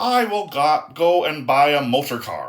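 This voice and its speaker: Putting on a character voice, a man speaks at a moderate pace in a fairly high pitch. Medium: read story.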